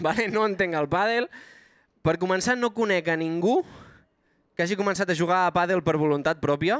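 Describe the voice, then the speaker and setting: A man's high voice at a fairly quick pace with long, frequent pauses, ordinary pitch variation, very even loudness, and a dry, echo-free sound over a quiet background. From Banyoles, Catalonia; Catalonia. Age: 20s. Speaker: stand-up comedian. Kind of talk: stand-up. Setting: stage with live audience. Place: stage. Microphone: handheld.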